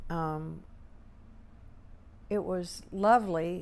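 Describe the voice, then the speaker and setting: A woman with an American accent, monotone and flat, in audible room echo. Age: 70s. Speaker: war veteran. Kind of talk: interview. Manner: conversational, with fillers.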